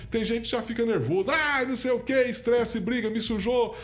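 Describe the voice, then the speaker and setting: A man's high voice at a very fast pace, with audible room echo. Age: 60s. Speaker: party president, businessman and lawyer. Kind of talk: podcast interview.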